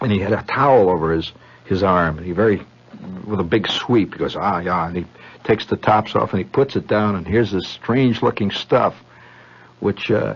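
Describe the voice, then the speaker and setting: At a fairly quick pace, a man with an ordinary speaking voice talks in a fairly low pitch with ordinary pitch variation. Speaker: radio storyteller. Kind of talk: radio monologue. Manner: rambling, conversational.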